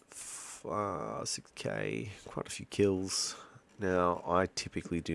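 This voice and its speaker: A man speaks quietly. He has an Australian accent. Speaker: gaming YouTuber. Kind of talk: gameplay commentary. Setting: at home at night. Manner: quiet, kept low; hesitant, many fillers.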